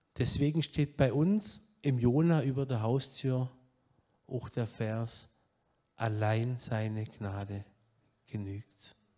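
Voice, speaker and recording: In a very clean recording with a silent background, a man with a slight Saxon accent and a dark, mellow tone speaks at a very slow pace with long, frequent pauses. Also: medium pitch for a man, ordinary pitch variation. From southwest Germany, Baden-Württemberg (Pforzheim area). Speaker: guest preacher, addiction ministry leader. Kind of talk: sermon. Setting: church service.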